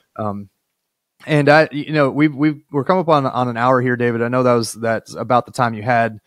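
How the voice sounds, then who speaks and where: A man speaks at medium pitch and a fairly quick pace, with ordinary pitch variation. The sound is dry with no echo, over a quiet background. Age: 40s. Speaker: podcast host and state senator; podcast host, state senator. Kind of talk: interview conversation with scripted intro. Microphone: studio mic.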